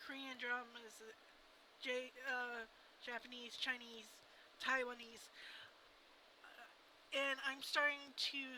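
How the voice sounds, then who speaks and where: A woman with an American accent, her pitch high and her delivery very slow and monotone, over noticeable background noise. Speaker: vlogger. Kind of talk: casual vlog monologue. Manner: halting.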